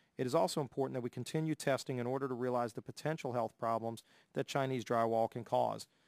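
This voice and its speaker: With a Southern US accent, a man speaks very fast at a medium pitch with fairly even intonation. The sound is dry with no echo, and the background is quiet. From US South. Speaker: congressman. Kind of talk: formal hearing. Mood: serious, concerned. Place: hall.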